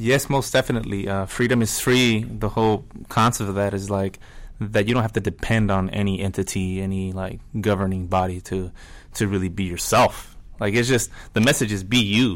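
With an American accent, a normal speaking voice moves at a fairly quick pace with ordinary pitch variation on a very clean recording with a silent background. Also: man, fairly low pitch for a man. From La Mirada, Los Angeles area. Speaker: band musician. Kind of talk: interview.

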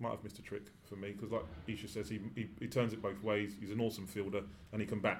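A man with a fairly low pitch talks at a very fast pace, his intonation fairly even. Audible room echo and noticeable background noise surround him. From England. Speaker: former cricketer. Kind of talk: casual chat. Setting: studio.

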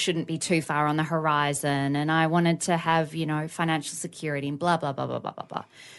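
Against a quiet background, a woman with an Australian accent speaks fast-ish and flat, in a very deep, low voice. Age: 30s. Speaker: podcast co-host. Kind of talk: casual chat.

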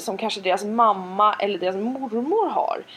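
A normal speaking voice from a woman, fairly high-pitched and fairly slow. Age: 40s. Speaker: podcast co-host. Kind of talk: casual chat.

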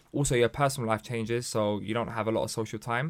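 A man races along at a very fast pace in a London accent. The recording is very clean, with a silent background. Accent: London English, multicultural London. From London, Hackney. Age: 20s. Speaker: local councillor and charity chief executive. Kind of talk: casual chat.

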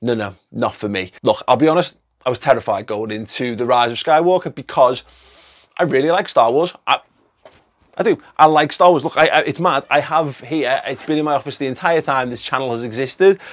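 Speaking in an English accent, a man talks at a fairly quick pace with an animated tone. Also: fairly high pitch for a man, lively intonation. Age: 30s. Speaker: film reviewer. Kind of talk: video review monologue. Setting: studio.

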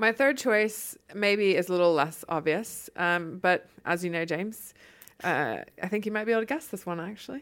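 A woman speaks with an American accent at a medium pitch and a moderate pace. The recording is very clean, with a silent background. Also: lively intonation. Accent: muted Southern US. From Charlotte, North Carolina, US South. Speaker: lifestyle blogger. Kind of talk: casual interview chat.

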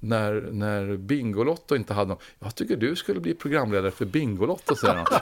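A man talks very fast in a fairly low voice with lively intonation. The recording is very clean, with a silent background. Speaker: former food company CEO. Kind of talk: interview.

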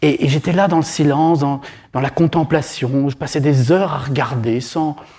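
Somewhat breathy and fairly high, a man's voice of dark, mellow tone with ordinary pitch variation. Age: 50s. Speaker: psychotherapist and author. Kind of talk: public talk. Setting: stage with audience. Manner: halting.

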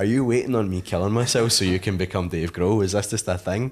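A man with a west of Scotland accent at a very fast pace, quiet background. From Scotland, Paisley. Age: 20s. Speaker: rock musician. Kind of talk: casual chat. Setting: at home.

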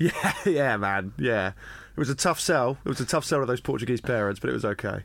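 A man with a southern English accent, medium-pitched with vocal fry and lively intonation, talking at a fairly quick clip with hardly any pauses. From England, Brighton. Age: 20s. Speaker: comedian. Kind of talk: casual chat.

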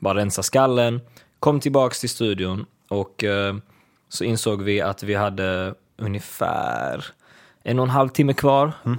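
A man's medium-pitched voice, varying in pitch in an ordinary way, sits in a very clean recording against a silent background. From Sweden, Lund. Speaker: singer-songwriter. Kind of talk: casual interview. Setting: studio.

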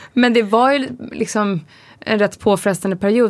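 A woman speaks with ordinary pitch variation. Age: 30s. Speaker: podcast co-host, pregnant mother. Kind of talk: casual chat.

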